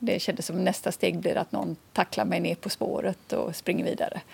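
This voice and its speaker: Speaking at a moderate pace, a woman talks in a western Swedish accent. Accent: non-Scanian, western Swedish. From Swedish west coast, Kungsbacka near Gothenburg. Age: 50s. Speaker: visually impaired association chair. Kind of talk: interview. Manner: hesitant, with fillers.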